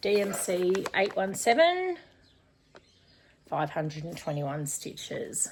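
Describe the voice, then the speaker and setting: A woman is speaking. Her pitch is medium. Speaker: cross stitch YouTuber. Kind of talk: casual unboxing vlog.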